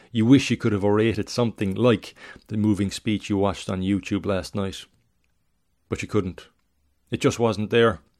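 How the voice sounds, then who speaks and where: A man's fairly low, solemn voice at a moderate pace, with fairly even intonation, long and frequent pauses, and a very clean recording with a silent background. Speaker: podcast host and writer reading own work. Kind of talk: literary story reading, second-person narration of a tragedy. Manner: measured, solemn, expressive reading.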